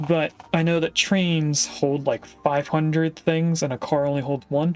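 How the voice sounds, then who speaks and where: With a plain, everyday voice, a man speaks fairly high in pitch with fairly even intonation. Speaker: video game streamer. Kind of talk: gameplay commentary. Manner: casual, thinking aloud with fillers.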